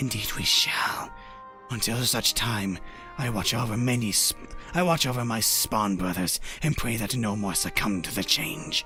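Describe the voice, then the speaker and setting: This put-on character voice is low-pitched and breathy, moving at a moderate pace. Clear music plays in the background. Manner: formal, archaic, solemn.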